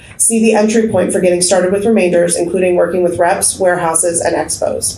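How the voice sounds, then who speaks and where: Speaking at a fairly quick pace, a woman uses a medium pitch and fairly even intonation. Noticeable background noise and audible room echo are present. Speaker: bookstore owner and panel moderator. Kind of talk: conference panel presentation. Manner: fast.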